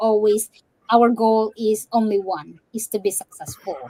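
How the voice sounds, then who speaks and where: A woman with a Visayan Filipino accent speaks at a fairly high pitch and a fairly slow pace, her tone dark and mellow in a dry, close sound with no echo. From Philippines, Cebu. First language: Cebuano. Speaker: digital business owner and fitness coach. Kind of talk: interview on a live stream, English mixed with Tagalog. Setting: live stream.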